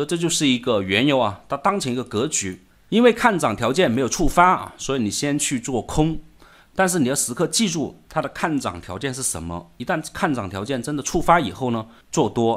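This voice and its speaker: A man's voice leaps across a very wide pitch range in a very clean recording with a silent background. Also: medium pitch for a man, fairly quick pace. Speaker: financial market commentator. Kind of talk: market analysis monologue. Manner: many filler particles.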